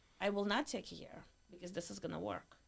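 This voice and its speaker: A woman talks at a moderate pace in a Russian accent. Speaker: entrepreneur. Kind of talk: casual chat.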